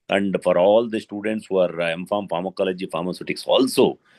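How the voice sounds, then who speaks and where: The sound is dry and close, with no echo. A man speaks at a very deep, low pitch. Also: quiet background. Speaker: pharmacy academic panelist. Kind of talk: webinar introduction. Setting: video call. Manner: halting, many fillers.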